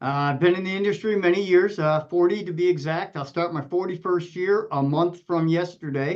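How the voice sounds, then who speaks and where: An ordinary speaking voice from a man, fairly quick in pace, with fairly even intonation. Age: 60s. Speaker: emergency dispatch director. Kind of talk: podcast panel discussion.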